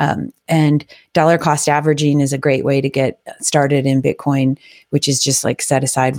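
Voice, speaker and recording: A woman with a very deep, low pitch and a dark, mellow tone talks at a fairly quick pace. Her intonation is fairly even, and the sound is dry and close with no echo. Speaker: podcast host and DJ. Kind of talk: casual solo livestream talk. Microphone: testing new gear and settings.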